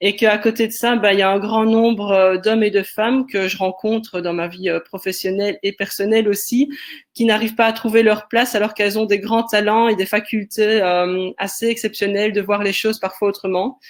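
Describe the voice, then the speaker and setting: Speaking with a slight Belgian accent, a woman keeps a fairly high pitch and a moderate pace. Her intonation is flat and monotone. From Belgium, Liège. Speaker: sociologist and creativity facilitator. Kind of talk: webinar discussion.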